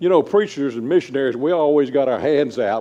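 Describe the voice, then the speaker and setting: There is noticeable background noise behind a man talking. He goes at a fairly quick pace with ordinary pitch variation. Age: 70s. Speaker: gospel preacher and missionary. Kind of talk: church talk. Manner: halting.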